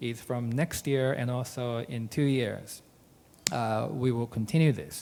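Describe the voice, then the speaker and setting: A man with a Japanese accent, medium-pitched, at a fairly slow pace with ordinary pitch variation. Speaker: wine trade association director. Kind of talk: business presentation. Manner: halting, many fillers.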